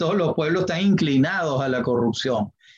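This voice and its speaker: A man speaks with lively intonation. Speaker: history professor and lawyer. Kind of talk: interview. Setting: podcast interview.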